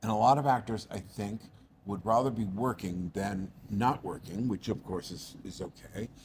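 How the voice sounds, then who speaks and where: A man speaks at a moderate pace with an American accent, his voice somewhat breathy. His pitch is fairly low, with ordinary variation. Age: 60s. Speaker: actor. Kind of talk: casual chat. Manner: animated.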